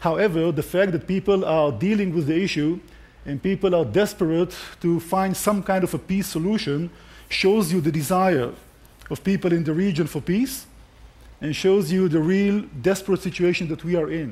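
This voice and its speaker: The speaker is a man with a high pitch and a non-native accent. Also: ordinary pitch variation, moderate pace. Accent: foreign accent, noticeable. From Israel. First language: Hebrew. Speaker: conference speaker, tour guide and army officer. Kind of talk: conference talk. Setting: stage with audience at a conference.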